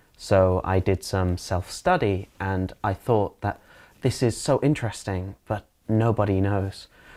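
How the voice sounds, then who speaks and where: On a very clean recording with a silent background, a man speaks at a fairly low pitch and fairly slow pace with fairly even intonation. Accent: Manchester. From northern England, Manchester area. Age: 20s. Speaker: English teacher. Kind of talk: interview.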